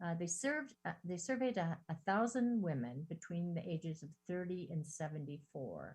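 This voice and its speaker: Her delivery moves at a moderate pace with hardly any pauses. The woman's fairly low voice is somewhat breathy, with lively intonation. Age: 60s. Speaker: therapist, guest speaker. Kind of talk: talk with slides to a women's group. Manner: hesitant, with fillers and restarts.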